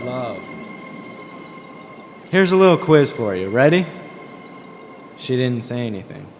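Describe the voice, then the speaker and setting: Over noticeable background noise, a man speaks with long, frequent pauses and big swings in loudness. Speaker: author reading own novel. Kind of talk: spoken word reading with music.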